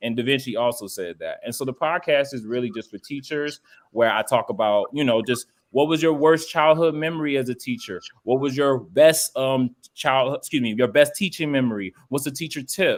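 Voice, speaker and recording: A man speaks in an animated tone at a fairly high pitch. His pace is moderate and his pitch varies in an ordinary way. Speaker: STEM teacher and podcaster. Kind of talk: panel podcast conversation. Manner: loud.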